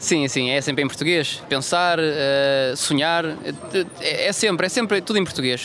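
The speech moves at a fairly quick pace with fairly even intonation. Noticeable background noise sits behind it. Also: man. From Madeira, Portugal (Funchal). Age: 20s. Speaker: football translator and aspiring coach. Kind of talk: interview.

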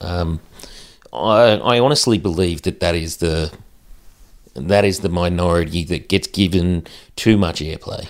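In an Australian accent, a man talks at a moderate pace with a very deep, low pitch and ordinary pitch variation. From Australia, central west New South Wales. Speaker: Paralympic wheelchair athlete and podcaster. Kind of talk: casual chat.

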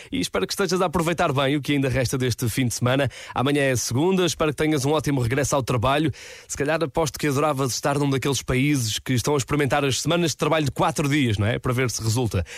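A man talks at a very fast pace with fairly high pitch. His pitch variation is ordinary. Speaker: radio host. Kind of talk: radio chart show presenting. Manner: animated.

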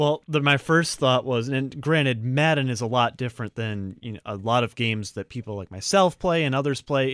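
With hardly any pauses, a man in an ordinary speaking voice talks at medium pitch with lively intonation, the very clean recording sounding dry and close with no echo and a silent background. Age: 20s. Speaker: sports radio co-host. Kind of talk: sports talk radio chat.

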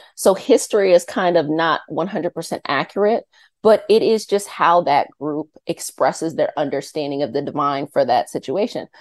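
A woman with an American accent, fairly low pitch and lively intonation at a moderate pace, in a dry, close sound with no echo over a quiet background. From Northern Virginia (Arlington). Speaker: energy healer and YouTube creator. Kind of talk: interview.

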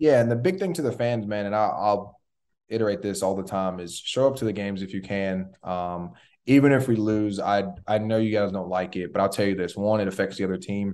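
A man has an unremarkable speaking voice with a fairly low pitch. He talks at a fairly quick pace with fairly even intonation. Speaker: former college quarterback. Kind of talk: casual interview.

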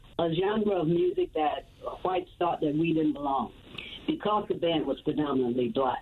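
With an American accent, the speaker's pitch swings very widely over noticeable background noise. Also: woman. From Chicago. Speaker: singer in a long-running rock band. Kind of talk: casual interview.

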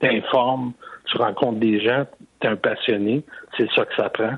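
A man's voice at medium pitch with fairly even intonation. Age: 60s. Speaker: caller. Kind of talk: testimony.

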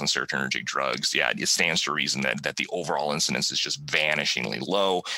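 Noticeable noise hums in the background. The speaker keeps a fairly quick pace. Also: man. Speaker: professor of pharmacy practice and podcast host. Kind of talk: educational podcast monologue. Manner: fast talker; hesitant, repeats words and fillers.

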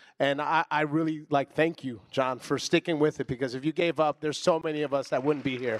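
With an American accent and an unremarkable speaking voice, a man talks fairly high and fairly quickly, with fairly even intonation, hardly any pauses, and a dry, close sound with no echo. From Trenton, New Jersey. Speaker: TV director. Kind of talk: panel discussion. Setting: stage with audience.

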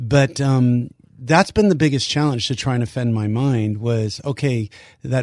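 A man speaks with a plain, everyday voice at a medium pitch, using ordinary pitch variation. The background is quiet. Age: 60s. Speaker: ministry leader. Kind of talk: interview.

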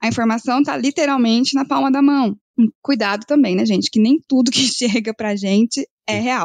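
The sound is dry and close, with no echo, and the pitch varies in an ordinary way. It is an unremarkable speaking voice, delivered at a moderate pace. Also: woman. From northern Paraná, Brazil. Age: 30s. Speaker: agribusiness credit analyst, economist. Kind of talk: podcast interview.

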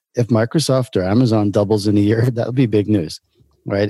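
In a New York accent, a man with a fairly low pitch and a dark, mellow tone talks at a fairly quick pace, recorded very cleanly against a silent background with a dry, close sound and no echo. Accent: New York American. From Brooklyn, New York. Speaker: entrepreneur. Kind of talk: interview conversation.

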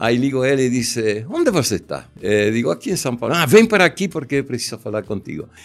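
With an Argentine accent, a man speaks at medium pitch and a fairly quick pace. His intonation is lively, with hardly any pauses. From Argentina. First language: Spanish (speaking Portuguese). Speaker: commercial film director. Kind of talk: interview storytelling. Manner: halting.

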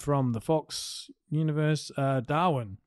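A man speaks with an Australian accent against a quiet background. The sound is dry and close, with no echo. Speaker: podcast co-host. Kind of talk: casual chat.

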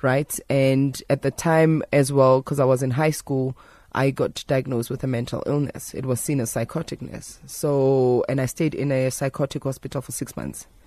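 The voice is dark and mellow in tone, monotone and flat, moving at a moderate pace with hardly any pauses on a very clean recording with a silent background. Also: woman, very deep, low pitch for a woman. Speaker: traditional healer. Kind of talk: radio interview. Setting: radio studio.

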